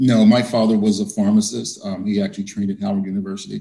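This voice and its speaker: A man talks very fast with a fairly low pitch and ordinary pitch variation. His tone is dark and mellow. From West Virginia, Harpers Ferry. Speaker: dermatologist. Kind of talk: interview. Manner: hesitant with filler words.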